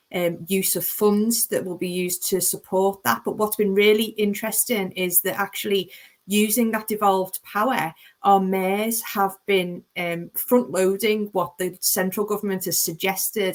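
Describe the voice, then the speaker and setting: A woman with a Liverpool accent speaks at a moderate pace with medium pitch and fairly even intonation. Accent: Liverpool (Scouse). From Liverpool, England. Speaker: planning lawyer, panelist. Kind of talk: panel webinar discussion. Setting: online webinar.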